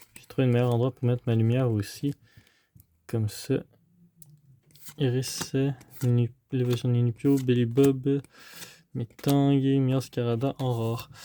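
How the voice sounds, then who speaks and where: A man's dark, mellow voice at medium pitch, monotone and flat, with big swings in loudness, long and frequent pauses, a fairly slow pace, and a dry, close sound with no echo. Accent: Quebec. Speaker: trading card unboxing youtuber. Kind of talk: casual unboxing commentary. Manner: hesitant, many fillers.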